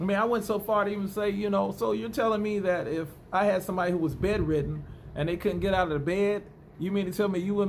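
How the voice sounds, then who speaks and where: With an American accent, a man talks at a very fast pace in an animated tone with lively intonation, and audible room echo surrounds him. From United States. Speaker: vlogger. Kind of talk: casual monologue vlog. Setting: indoors at home, bedroom.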